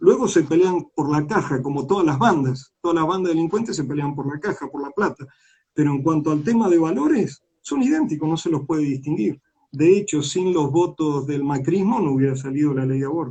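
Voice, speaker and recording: Somewhat breathy and dark, mellow in tone, a man's voice sits at a fairly high pitch with ordinary pitch variation. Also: fairly quick pace. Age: 60s. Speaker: politician. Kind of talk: interview. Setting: online live stream.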